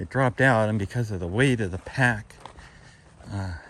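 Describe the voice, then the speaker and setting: The man's pitch sits fairly low, with ordinary variation. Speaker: backpacker vlogging a solo trip. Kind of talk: casual vlog narration. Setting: outdoors on a mountain trail. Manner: loud, speaking up on the trail; hesitant, many fillers.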